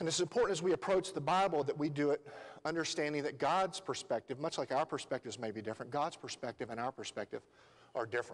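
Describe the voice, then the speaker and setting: Very fast speech in a Southern US accent with lively intonation. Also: man. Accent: Southern US, noticeable. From Tennessee. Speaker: lay preacher. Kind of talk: sermon. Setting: church. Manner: hesitant, many fillers.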